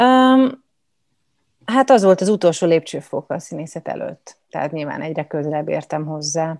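Over a quiet background, a woman's voice shows big swings in loudness and very wide pitch swings. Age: young. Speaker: actress. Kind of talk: interview. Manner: hesitant, many fillers.

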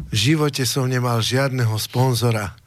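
This man talks at a medium pitch with fairly even intonation. Noticeable background noise runs under his voice. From Slovakia. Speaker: singer and nationalist party figure. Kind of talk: studio talk show discussion.

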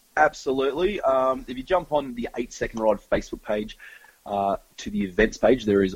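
A man speaks with an Australian accent. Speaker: country band frontman. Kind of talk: interview. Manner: halting, many fillers.

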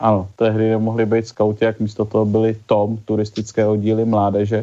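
A man speaks in a dark, mellow tone. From Prague, Czechia. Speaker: journalist and chess official. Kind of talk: interview answers.

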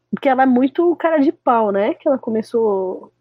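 Speaking at a fairly slow pace, a woman uses a high-pitched voice. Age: 20s. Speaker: DJ and music producer. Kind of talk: casual chat.

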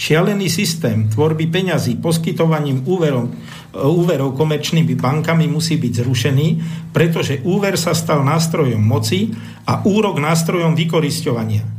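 Over noticeable background noise and audible room echo, a man with a fairly high pitch speaks at a moderate pace with ordinary pitch variation and very even loudness. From Slovakia, Bratislava. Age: 60s. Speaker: economist and former ship officer. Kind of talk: radio talk show discussion. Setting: radio studio.

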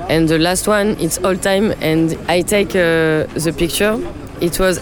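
Against noticeable background noise, a woman speaks at a very slow pace with a French accent. Her pitch is fairly low, with ordinary pitch variation. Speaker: DJ and producer. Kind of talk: interview. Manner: halting.

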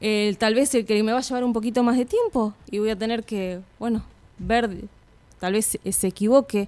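Her voice has a dark, mellow tone and a fairly high pitch. The woman's intonation stays fairly even. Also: moderate pace. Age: 30s. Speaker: primary school teacher. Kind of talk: radio interview.

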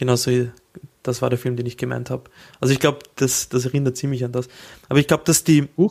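With a Viennese accent, a man speaks at medium pitch. His intonation stays fairly even. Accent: Viennese Austrian German. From Austria. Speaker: podcast co-host. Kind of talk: casual chat.

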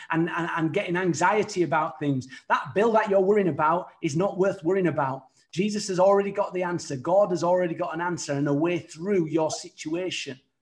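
A man with a British accent, high in pitch, at a fairly quick pace with ordinary pitch variation. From United Kingdom. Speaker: evangelist. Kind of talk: sermon. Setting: virtual studio.

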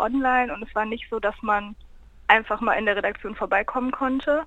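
This woman has a plain, everyday voice pitched fairly high. Her intonation stays fairly even at a fairly quick pace. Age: 20s. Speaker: university student and campus radio member. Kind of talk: casual interview. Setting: phone call.

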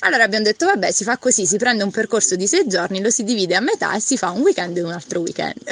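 A woman's fairly high voice, very fast with hardly any pauses and lively intonation, over noticeable background noise. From Foggia, Apulia, southern Italy. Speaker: pilgrim walker. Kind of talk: casual interview.

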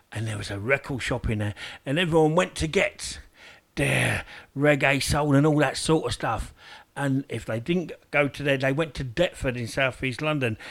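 The recording is very clean, with a silent background. A man talks at a moderate pace in a normal speaking voice with ordinary pitch variation. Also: fairly high pitch for a man. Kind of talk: live radio DJ patter, chatty shout-outs and show-link promos between reggae tracks. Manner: chatty and nostalgic, laughing as he reminisces with listeners.

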